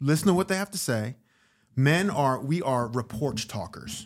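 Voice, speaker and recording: A man with an American accent and a plain, everyday voice, lively intonation at a moderate pace, in a very clean recording with a silent background. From US Northeast, Westchester, New York. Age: 50s. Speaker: actor and comedian. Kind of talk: casual chat.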